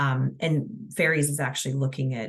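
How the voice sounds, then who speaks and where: A woman's very deep, low voice with vocal fry and ordinary pitch variation. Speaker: transportation agency presenter. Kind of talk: webinar presentation. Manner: fast; hesitant, many fillers.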